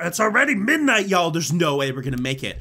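With very wide pitch swings and vocal fry, a man speaks in a bright, sharp tone. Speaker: gaming YouTuber. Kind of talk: let's play commentary. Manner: animated.

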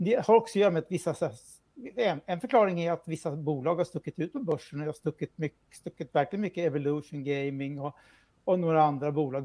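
Ordinary pitch variation comes through over a quiet background. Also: man. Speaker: financial journalist. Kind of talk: news interview. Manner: halting. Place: home room. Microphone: video call.

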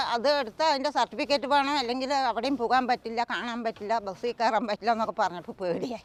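Her voice sits high in pitch and rises and falls with ordinary variation. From Palakkad, Kerala. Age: 70s. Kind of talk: interview answer.

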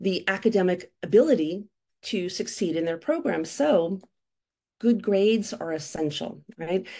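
An American accent with ordinary pitch variation over a quiet background. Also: woman. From United States. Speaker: university admissions consultant. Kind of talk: webinar presentation. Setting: video call. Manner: animated. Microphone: webcam.

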